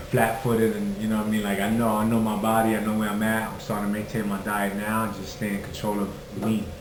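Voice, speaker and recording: A man with a Brooklyn accent speaks very fast in a fairly low, flat monotone over noticeable background noise. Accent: New York (Brooklyn). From Red Hook, Brooklyn, New York. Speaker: professional boxer. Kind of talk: interview answer. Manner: casual, conversational.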